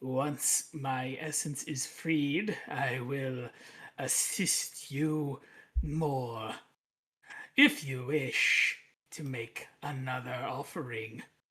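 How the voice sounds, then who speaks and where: This is a put-on character voice at a low-to-middle pitch. The pace is very slow. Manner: mysterious.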